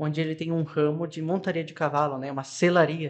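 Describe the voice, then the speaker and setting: This man's pitch is high. He speaks at a fairly quick pace. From Rio Grande do Sul, Brazil. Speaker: podcast guest. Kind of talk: testimony.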